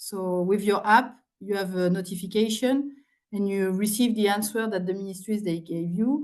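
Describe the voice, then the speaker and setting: A woman talks with a French accent. Her pace is moderate. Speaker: public participation official. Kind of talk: presentation and Q&A answer. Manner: halting, many fillers and repeats.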